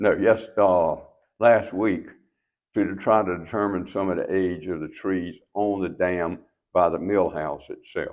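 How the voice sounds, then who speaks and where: A man's very deep, low voice in an eastern North Carolina accent, at a fairly slow pace. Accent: Southern US (eastern North Carolina). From US South, eastern North Carolina (Trenton, Jones County). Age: 80s+. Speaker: local elder, mill owner. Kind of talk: interview.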